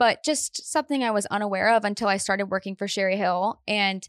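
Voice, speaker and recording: A woman with a plain, everyday voice talks at a fairly quick pace and a medium pitch, with ordinary pitch variation. The sound is dry and close with no echo, over a quiet background. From US Midwest, Painesville, Ohio. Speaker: entrepreneur and community founder. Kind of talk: casual interview chat.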